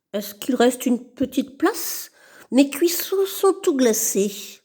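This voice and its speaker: Very wide pitch swings in a high, put-on character voice from a woman, delivered at a moderate speed. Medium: read story. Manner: gruff, pushy.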